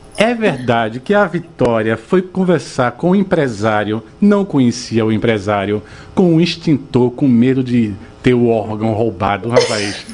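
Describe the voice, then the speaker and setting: Against music in the background, a man talks at a fairly slow pace with very wide pitch swings. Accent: strong northeastern Brazilian. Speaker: radio host. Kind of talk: radio interview. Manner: animated.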